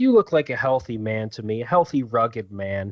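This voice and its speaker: A man's put-on character voice at a medium pitch and a fairly quick pace. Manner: pretentious, creepy.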